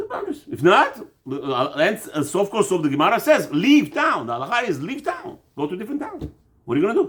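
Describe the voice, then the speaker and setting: Very fast and loud, a man speaks in a high pitch with very wide pitch swings and an animated tone. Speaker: religious teacher, rabbi. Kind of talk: religious class, informal lecture.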